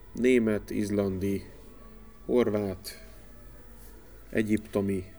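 Man with a fairly low pitch and dark, mellow tone, at a very slow pace with ordinary pitch variation. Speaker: TV sports journalist. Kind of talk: casual chat. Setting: studio.

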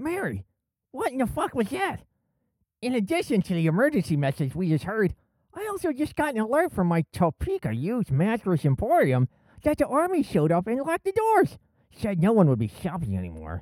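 A put-on character voice at a fairly high pitch and a fairly quick pace.

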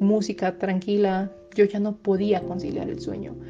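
Woman's medium-pitched voice, flat and monotone, at a fairly slow pace amid noticeable background noise. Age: 20s. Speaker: psychologist. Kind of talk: personal testimony.

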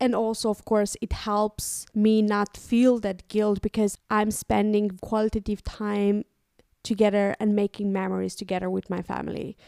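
A woman's dark, mellow voice with a Romanian accent, monotone and flat in intonation, medium in pitch, at a moderate pace, with a dry, close sound with no echo on a very clean recording with a silent background. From Moldova. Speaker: podcast co-host. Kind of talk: casual chat. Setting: home recording.

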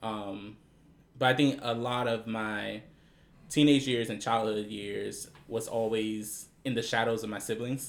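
A man with an American accent has an ordinary speaking voice, speaking at a fairly slow pace and medium pitch with fairly even intonation. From Prince George's County, Maryland, US. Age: 20s. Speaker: retail worker. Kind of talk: casual chat.

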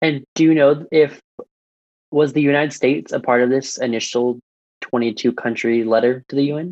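Speaking at a moderate pace, a man with an American accent and an unremarkable speaking voice uses ordinary pitch variation at a fairly high pitch. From US military town. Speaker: student podcast host. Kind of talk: casual podcast chat.

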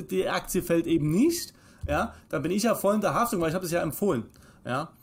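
A man's high pitch with lively intonation. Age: 30s. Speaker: financial advisor. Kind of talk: casual chat.

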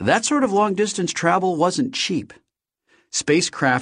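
The background is quiet. A man speaks at a fairly slow pace. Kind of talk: audiobook reading of a novel, first-person narration. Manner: steady, measured storyteller's pace, wry and conversational.

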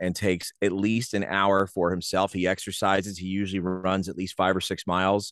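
Against a quiet background, a man with an American accent talks at a fairly quick pace in a plain, everyday voice with a fairly low pitch, in a dry, close sound with no echo. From New Jersey (Rahway). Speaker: sports announcer and in-game host. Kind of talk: casual interview chat.

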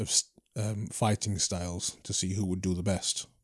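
A man with a Yorkshire accent at a very deep, low pitch, flat monotone intonation and moderate pace against a quiet background. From Leeds, England (born in Trinidad, moved at four). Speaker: martial arts teacher and former kickboxer. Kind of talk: casual interview conversation.

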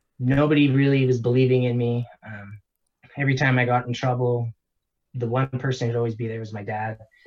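A man with a Canadian accent speaks at a fairly quick pace, his voice somewhat breathy. His pitch sits at a medium level and his intonation stays monotone and flat. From Canada. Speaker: online seller and entrepreneur. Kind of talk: casual interview.

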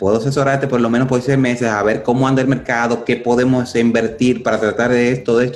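A man at a medium pitch speaks very fast, with hardly any pauses and very even loudness. His intonation is flat and monotone, and background noise is noticeable. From Dominican Republic. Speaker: addiction recovery speaker. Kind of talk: interview.

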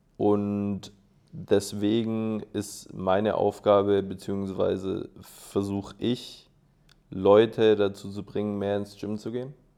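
A man's fairly low-pitched voice with a dark, mellow tone and monotone, flat intonation, at a very slow pace. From Swabia, Germany (Schorndorf). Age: 20s. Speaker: aerobatic glider pilot and student. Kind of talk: casual interview.

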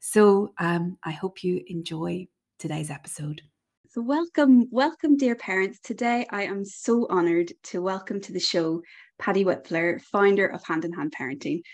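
In an Irish accent, a woman at a medium pitch speaks with lively intonation and big swings in loudness. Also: moderate pace. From Ireland. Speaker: parenting podcast host and coach.

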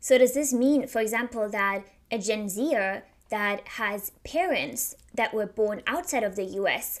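A woman with a German accent, fairly high in pitch, speaking at a fairly slow pace with ordinary pitch variation. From Germany. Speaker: podcast host. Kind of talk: solo podcast monologue.

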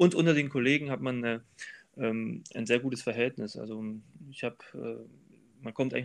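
Fairly even intonation marks a man's medium-pitched speech. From Thuringia, eastern Germany (Weimar). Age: 30s. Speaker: train driver. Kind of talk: interview. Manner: hesitant, many filler sounds.

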